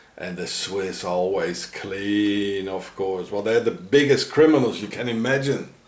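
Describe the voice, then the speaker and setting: Noticeable background noise sits behind a man speaking at a very slow pace. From South Africa. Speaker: video blogger. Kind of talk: walking vlog rant. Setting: outdoors. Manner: halting.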